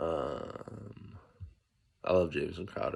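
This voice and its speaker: Soft-spoken male voice. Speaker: fantasy football league commissioner. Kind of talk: casual sports preview monologue. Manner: soft-spoken, low volume early morning; casual, filler-heavy.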